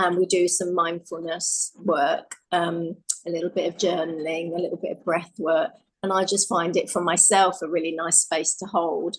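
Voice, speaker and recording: Fairly low-pitched, a woman speaks in a flat monotone at a moderate pace. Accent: British. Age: 60s. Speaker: life coach. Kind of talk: casual chat.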